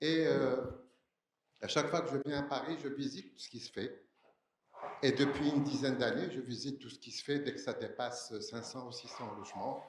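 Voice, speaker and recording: A man at a fairly high pitch and moderate pace, with ordinary pitch variation, big swings in loudness and long, frequent pauses, in audible room echo. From Algeria, Algiers. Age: 60s. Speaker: audience member asking a question. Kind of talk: audience question at conference.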